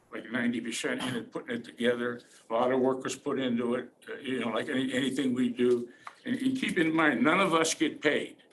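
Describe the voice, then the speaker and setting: Noticeable background noise sits behind a man with an American accent who talks at a very fast pace, with medium pitch and ordinary pitch variation. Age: 70s. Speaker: war veteran. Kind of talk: public testimony at a county meeting. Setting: county commissioners' hearing room. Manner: halting, with many repetitions and fillers.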